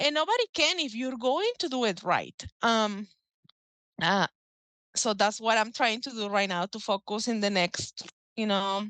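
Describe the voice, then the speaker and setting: Against a quiet background, a woman with a Mexican accent speaks fairly slowly in a bright, sharp tone, fairly high in pitch, with ordinary pitch variation and long, frequent pauses. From Mexico. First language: Spanish. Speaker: author and folk magic practitioner. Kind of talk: casual interview. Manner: halting.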